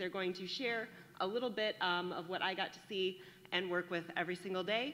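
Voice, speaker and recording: At a moderate pace, a woman speaks loudly in a medium pitch with a bright, sharp tone over light background noise. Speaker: teacher of the advanced class; presenter introducing student speakers at a graduation ceremony. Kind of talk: warm, enthusiastic public speech. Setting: graduation ceremony, speaking to an audience. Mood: warm, enthusiastic, smiling. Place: hall.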